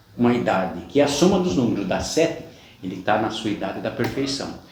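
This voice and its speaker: With very wide pitch swings, a man speaks at a moderate pace amid noticeable background noise and audible room echo. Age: 60s. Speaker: religious YouTuber. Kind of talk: personal testimony monologue.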